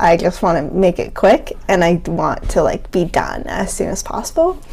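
Noticeable background noise fills the clip. Through it, a woman talks at a moderate pace. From New England. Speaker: podcast co-host. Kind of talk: casual chat.

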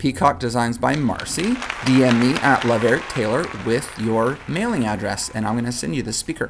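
A man's medium-pitched voice at a moderate pace with ordinary pitch variation, crowd noise behind him. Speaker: podcast host. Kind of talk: red carpet interviews and intro. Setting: live event. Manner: animated.

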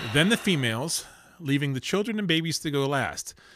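A man's bright, sharp tone rises and falls in lively intonation. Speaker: podcast host. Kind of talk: casual banter. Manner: joking, chatty.

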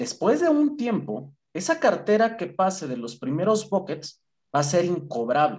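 A man is speaking. His voice is somewhat breathy. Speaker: credit and collections operations manager. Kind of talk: interview. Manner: talkative.

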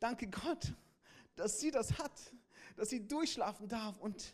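An extremely high-pitched man speaks in an animated tone with ordinary pitch variation. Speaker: pastor. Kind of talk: sermon. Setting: church with congregation. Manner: animated, direct address to the congregation; repeats key phrases for emphasis.

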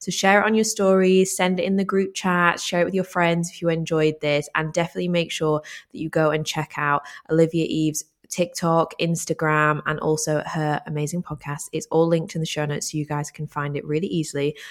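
A woman's normal speaking voice, fairly low in pitch, with fairly even intonation, a fairly quick pace, and hardly any pauses, on a very clean recording with a silent background. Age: 20s. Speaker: podcast host. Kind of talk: interview.

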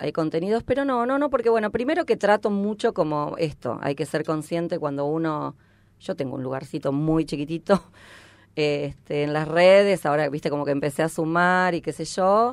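A woman has an ordinary speaking voice at a fairly low pitch. Her intonation is lively and her pace moderate. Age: 50s. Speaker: stand-up comedian. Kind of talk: casual chat.

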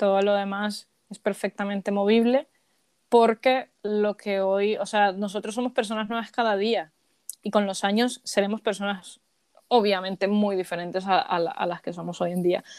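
Over a very clean recording with a silent background and a dry, close sound with no echo, a woman speaks at a medium pitch and moderate pace in a monotone, flat intonation. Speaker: podcast host. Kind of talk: casual chat.

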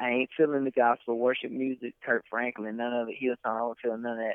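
A man talks at a very fast pace with an American accent. His pitch sits in the medium range. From Alabama (Troy area). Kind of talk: casual chat.

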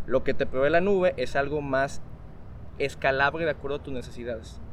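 A man in an ordinary speaking voice, fairly quick, with ordinary pitch variation. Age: young. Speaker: software architect and innovation coach. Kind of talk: casual interview chat.

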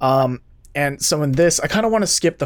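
A plain, everyday voice: a man with fairly high pitch, ordinary pitch variation and a fairly quick pace. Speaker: podcast host. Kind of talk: casual chat.

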